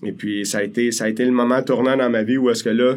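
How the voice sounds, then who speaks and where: Keeping a medium pitch and fairly even intonation, a man moves at a fairly quick pace. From Quebec, Pincourt / Île Perrot area. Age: 40s. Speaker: mortgage broker. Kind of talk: podcast interview. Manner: casual, hesitant with fillers.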